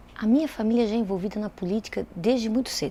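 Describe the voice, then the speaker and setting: A woman talks fairly quickly at a medium pitch. Her tone is dark and mellow, her intonation fairly even. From Brazil, Itajaí, Santa Catarina. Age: 30s. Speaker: lawyer and politician. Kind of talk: interview testimony.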